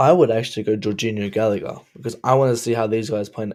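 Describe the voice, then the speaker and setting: In a very clean recording with a silent background, a man with an Australian accent talks at a medium pitch with fairly even intonation. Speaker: football fan commentator. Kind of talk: casual chat.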